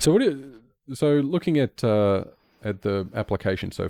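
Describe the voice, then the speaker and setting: A man speaks with an Australian accent and lively intonation, recorded dry and close with no echo, very clean against a silent background. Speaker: software developer streamer. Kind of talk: live coding stream chat. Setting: live stream. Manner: halting, repetitive.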